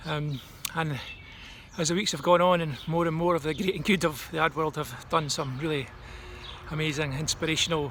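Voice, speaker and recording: A man with a Scottish accent talks at a fairly quick pace and a fairly high pitch, with fairly even intonation. He leaves long, frequent pauses, and there is noticeable background noise. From Scotland. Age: 50s. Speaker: advertising strategist. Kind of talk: recorded talk. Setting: at home. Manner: casual, hesitant with frequent ums.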